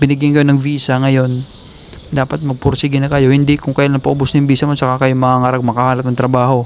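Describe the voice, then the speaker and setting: Amid noticeable background noise, a man speaks at a medium pitch in a flat monotone at a fairly quick pace. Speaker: vlogger giving job-hunting advice to Filipino workers. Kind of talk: casual vlog monologue. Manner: fast, run-on speech.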